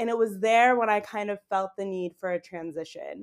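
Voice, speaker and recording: In a very clean recording with a silent background, a woman with an unremarkable speaking voice talks at a medium pitch, a moderate pace and with fairly even intonation. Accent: American. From Boston, Massachusetts, US. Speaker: YouTuber living abroad. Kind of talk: casual interview chat.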